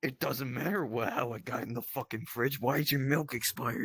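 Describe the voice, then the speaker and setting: A man puts on a character voice that is raspy, at a medium pitch. He moves at a fairly quick pace with ordinary pitch variation. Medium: comedy sketch. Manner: crude, profane, blustering.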